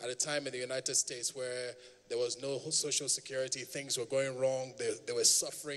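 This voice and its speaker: Over noticeable background noise, a man with an American accent and a fairly high pitch speaks at a fairly quick pace. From Nigeria. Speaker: public speaker. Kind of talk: speech to audience.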